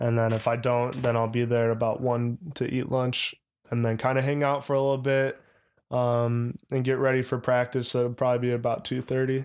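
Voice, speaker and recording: Flat and monotone, a man with an American accent speaks at a fairly quick pace and medium pitch with very even loudness, in a very clean recording with a silent background. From Chicago. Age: 20s. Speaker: professional baseball player. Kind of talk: casual chat.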